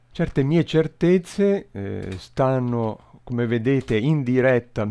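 Lively intonation and a dark, mellow tone from a man. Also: quiet background. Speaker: YouTuber explaining recreational math. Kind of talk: video tutorial with live simulation. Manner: hesitant, thinking aloud. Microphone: headset.

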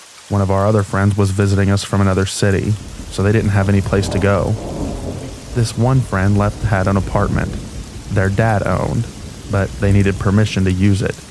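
A man with a fairly low pitch speaks at a fairly quick pace, in a monotone, flat intonation with very even loudness. Long, frequent pauses break up his speech, and noticeable background noise is present. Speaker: narrator of reddit horror stories. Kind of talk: scripted narration, reading aloud true scary stories as a sleep aid. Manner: steady, low-key, matter-of-fact narration of disturbing events.

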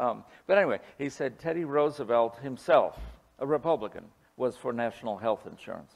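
A man talks at a fairly quick pace. His pitch is fairly high, with ordinary variation. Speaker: historian and cartoonist. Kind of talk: lecture with Q&A. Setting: stage with audience. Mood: humorous, anecdotal. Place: hall. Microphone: podium.

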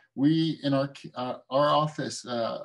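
A man with an American accent and fairly even intonation against a quiet background. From San Francisco, US West Coast (born South Korea). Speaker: dentist and implant lecturer; implant lecturer. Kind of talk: lecture. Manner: casual with many fillers. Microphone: webcam.

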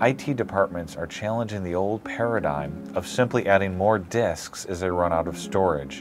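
A man talks at a moderate pace in a very deep, low pitch. Clear music plays in the background. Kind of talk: corporate explainer to camera. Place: office. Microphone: lapel.

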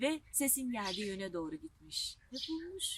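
A woman talks at a moderate pace with a fairly high pitch, big pitch swings and a bright, sharp tone.

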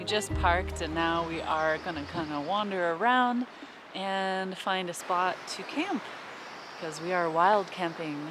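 A woman's voice, dry with no echo, over clear background music. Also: fairly low pitch for a woman, ordinary pitch variation, fairly slow pace. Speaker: travel vlogger. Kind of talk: casual vlog chat. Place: forest. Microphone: phone near.

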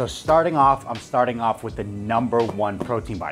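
A man at a moderate pace, with clear music playing behind him. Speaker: fitness coach reviewer. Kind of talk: product review to camera. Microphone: lapel.

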